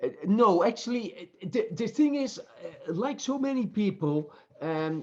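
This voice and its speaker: With a Dutch accent, a man speaks at a fairly slow pace, his pitch swinging very widely. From Netherlands. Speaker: professor. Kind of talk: interview. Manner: halting.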